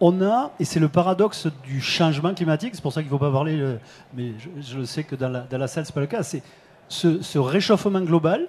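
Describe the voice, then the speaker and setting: A man speaks at a fairly quick pace with a southern French accent, his pitch fairly high and ordinary in its variation. His loudness swings widely. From southern France. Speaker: company head, risk forecasting expert. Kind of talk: panel discussion. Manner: hesitant, many fillers.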